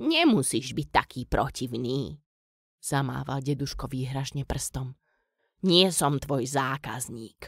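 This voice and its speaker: A woman's put-on character voice, very deep, low in pitch and rumbling, on a very clean recording with a silent background. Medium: read story. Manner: cranky, grumbling.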